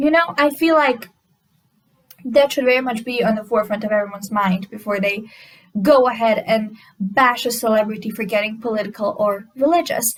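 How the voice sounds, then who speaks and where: A woman with a non-native accent talks at a fairly quick pace and fairly high pitch, with ordinary pitch variation. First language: not English. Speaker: commentary YouTuber. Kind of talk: reaction video commentary.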